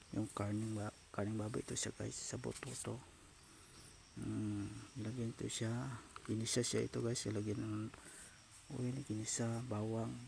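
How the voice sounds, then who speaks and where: A soft-spoken man with fairly low pitch, monotone, flat intonation, a moderate pace and long, frequent pauses. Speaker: cooking vlogger. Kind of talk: cooking tutorial. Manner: halting.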